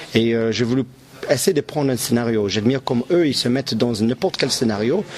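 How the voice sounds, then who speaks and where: A man with an English Canadian accent talks at a fairly quick pace and medium pitch. Noticeable background noise is present. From English Canada. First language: English (speaking French). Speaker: clown performer. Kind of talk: interview. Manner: halting, searching for words.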